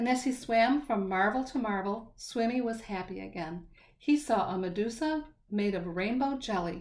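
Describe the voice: Simply plain reading aloud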